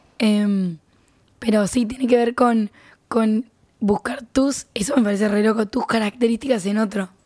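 Somewhat breathy, a woman's voice moves along at a fairly slow pace. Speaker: podcast co-host, psychology student. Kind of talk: casual chat.

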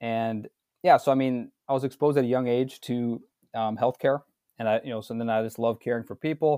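In a very clean recording with a silent background and a dry, close sound with no echo, a man speaks fairly quickly in a dark, mellow tone with fairly even intonation. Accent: American. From Wisconsin, suburb of Milwaukee. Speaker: physician assistant. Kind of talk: casual interview. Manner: halting.

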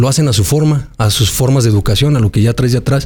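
A man speaks at a medium pitch with a dark, mellow tone. His voice is somewhat breathy, with ordinary pitch variation. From Mexico, Aguascalientes. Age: 40s. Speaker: actor and mayoral candidate. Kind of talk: interview. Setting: restaurant.

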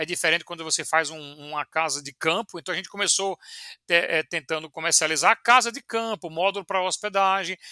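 With lively intonation, a man speaks in a high, bright, sharp voice. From Brazil, João Pessoa (Paraíba, Northeast). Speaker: civil engineer and startup founder, former professor. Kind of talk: interview. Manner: hesitant, many filler repetitions.

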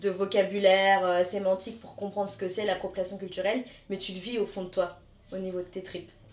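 In a normal speaking voice, a woman talks at a fairly quick pace with a medium pitch. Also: big swings in loudness. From Paris suburbs, France (Hauts-de-Seine), Tamil Indian heritage. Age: 30s. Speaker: yoga consultant. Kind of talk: interview.

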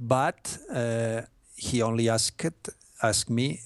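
A man with a Spanish accent speaks at a medium pitch. The sound is dry and close with no echo, over a quiet background. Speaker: sports journalist and author. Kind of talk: interview. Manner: halting, hesitant English; apologetic.

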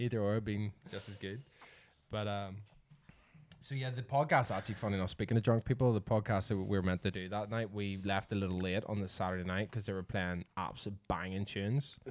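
In a Northern Irish accent, a man speaks at a fairly quick pace with a fairly low pitch and fairly even intonation on a very clean recording with a silent background. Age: 30s. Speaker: podcast host. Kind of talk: casual chat.

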